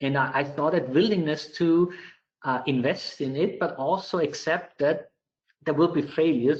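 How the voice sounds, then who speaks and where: With an Austrian accent, this speaker moves at a moderate pace with ordinary pitch variation. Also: man. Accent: non-UK, Austrian. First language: German. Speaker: IT director. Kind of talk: webinar Q&A. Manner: halting, many repetitions.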